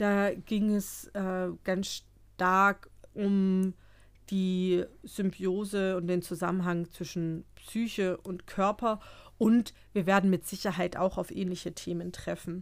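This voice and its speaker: Spoken very slowly in a flat monotone, the clip is a very clean recording with a silent background. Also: woman, medium pitch for a woman. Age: 30s. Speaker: psychotherapist and podcast co-host. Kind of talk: casual chat.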